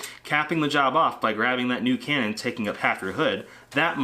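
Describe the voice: The clip is plain reading aloud.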